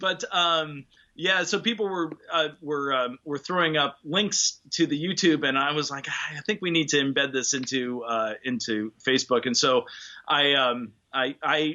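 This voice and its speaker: A plain, everyday voice speaks with ordinary pitch variation. The pace is moderate. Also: man. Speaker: tuba player. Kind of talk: interview answer. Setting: video call.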